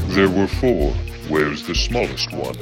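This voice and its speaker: A man's put-on character voice at a moderate pace over loud music in the background. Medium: audio drama.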